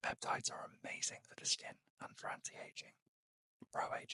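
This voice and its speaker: Whispering in a British accent, a man speaks at a moderate pace with a dry, close sound and no echo. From United Kingdom. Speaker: beauty reviewer and trained beauty therapist. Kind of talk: ASMR unboxing and product review. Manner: whispered, soft-spoken.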